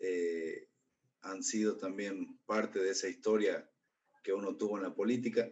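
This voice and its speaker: A man's plain, everyday voice, fairly low in pitch, at a fairly slow pace. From Jujuy, northwestern Argentina. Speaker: political activist. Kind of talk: formal remarks in meeting.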